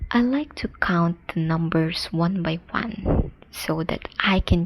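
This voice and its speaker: A soft-spoken voice with a non-native accent comes through over noticeable background noise. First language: not English. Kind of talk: soft-spoken ASMR puzzle-solving narration. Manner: soft-spoken, slow.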